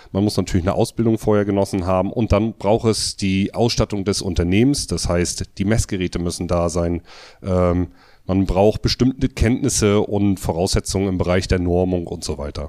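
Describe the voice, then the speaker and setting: In a very clean recording with a silent background and a dry, close sound with no echo, a man speaks at a moderate pace with a very deep, low pitch, ordinary pitch variation and a dark, mellow tone. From northern Germany, Mecklenburg coast. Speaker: electrical contractor and trade association official. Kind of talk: interview.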